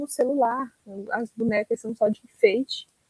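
A woman's bright, sharp tone comes through with ordinary pitch variation in a dry, close sound with no echo. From Ceará, Brazil. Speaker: podcast guest. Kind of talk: casual chat.

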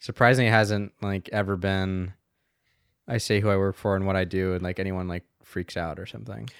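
Very deep and low in pitch, a man with an American accent speaks at a fairly quick pace on a very clean recording with a silent background and a dry, close sound without echo. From US South, Asheville, North Carolina. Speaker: video studio worker. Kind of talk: casual chat. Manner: fast, filler-heavy.

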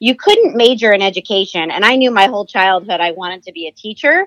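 Speaking with an American accent, a woman talks at a very fast pace. The sound is dry and close with no echo, and the background is quiet. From New Jersey. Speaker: podcast guest, school district administrator. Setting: phone call. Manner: fast talker.

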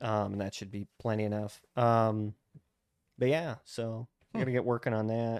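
This man has a plain, everyday voice at a medium pitch, with an American accent. He keeps a moderate pace and fairly even intonation. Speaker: podcast co-host. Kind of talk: casual chat.

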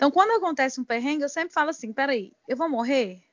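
A high-pitched female voice full of lively intonation. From Goiânia, Brazil. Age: 30s. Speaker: military firefighter and travel influencer. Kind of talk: casual interview.

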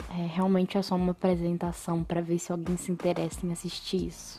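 A woman speaks at a fairly quick pace in a medium pitch. Her tone is dark and mellow and somewhat breathy. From Brazil, São Paulo. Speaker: podcast host. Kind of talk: casual monologue.

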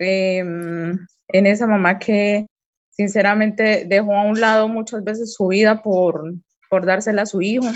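A woman speaks at a medium pitch. Her intonation is monotone and flat. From Colombia, Cali. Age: 40s. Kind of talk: interview testimony. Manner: hesitant, many fillers and repetitions.

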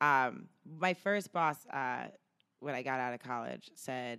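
With an American accent, a woman speaks in an animated, bright, sharp tone with ordinary pitch variation. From New Jersey. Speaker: stand-up comedian. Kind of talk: casual interview chat. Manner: animated, laughs often.

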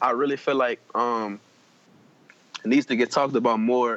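In a New Orleans accent, the speaker talks at a fairly quick pace with a dry, close sound with no echo. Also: man. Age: 20s. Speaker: podcast guest. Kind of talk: casual chat.

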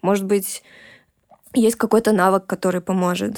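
Against a silent background on a very clean recording, a woman talks at a moderate pace and medium pitch with monotone, flat intonation, the sound dry and close with no echo. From Russia. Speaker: tattoo artist and illustrator. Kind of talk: interview conversation.

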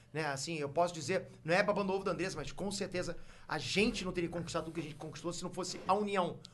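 A man talks at a very fast pace in a high voice. His intonation stays fairly even. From Rio de Janeiro, Brazil. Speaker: YouTuber. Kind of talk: casual chat.

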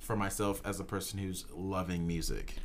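With an American accent, a male speaker delivers his words at a moderate pace. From Houston, Texas. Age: 20s. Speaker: college podcast co-host. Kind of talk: casual chat. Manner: animated.

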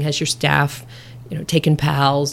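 A woman with an American accent and very deep, low pitch. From US Midwest, Nebraska. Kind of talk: interview.

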